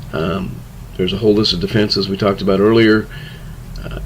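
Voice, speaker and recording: The speech moves at a fairly quick pace with fairly even intonation, over noticeable background noise. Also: man. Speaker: criminal justice instructor. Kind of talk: lecture. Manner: fast.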